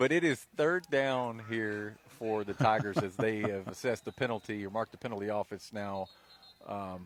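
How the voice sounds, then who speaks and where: A man with an ordinary speaking voice, fairly low in pitch, at a moderate pace, with ordinary pitch variation and big swings in loudness. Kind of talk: live sports radio play-by-play. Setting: outdoors at a football stadium, in the corner of the end zone.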